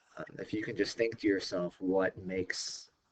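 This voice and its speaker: A man speaks in a somewhat breathy voice. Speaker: science teacher. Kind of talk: recorded lecture. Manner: hesitant, many fillers.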